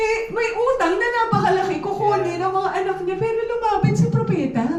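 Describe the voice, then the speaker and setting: A woman speaks loud and animated at a moderate pace, her pitch extremely high, with noticeable background noise and audible room echo. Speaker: preacher. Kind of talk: sermon. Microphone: speaking without a microphone.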